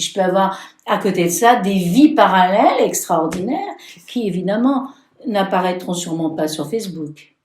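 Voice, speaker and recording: Audible room echo surrounds a voice that moves at a moderate pace with lively intonation. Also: woman, medium pitch for a woman. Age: 70s. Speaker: tarot reader and healer. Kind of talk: casual interview. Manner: halting.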